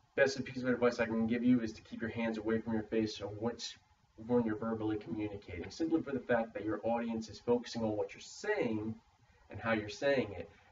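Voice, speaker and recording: Against noticeable background noise, a man at medium pitch talks at a fairly quick pace, his intonation fairly even but his loudness swinging widely. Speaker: student in a public speaking course. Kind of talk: spoken peer critique for a class assignment. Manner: stammers; uses many fillers like uh.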